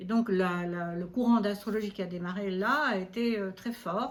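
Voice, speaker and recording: A somewhat breathy woman's voice. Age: 70s. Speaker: astrologer. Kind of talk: interview.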